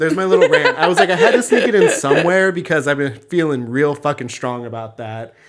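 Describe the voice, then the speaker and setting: Loud and very fast, a man speaks at a fairly high pitch with hardly any pauses. His pitch swings very widely. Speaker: podcast co-host. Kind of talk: casual chat.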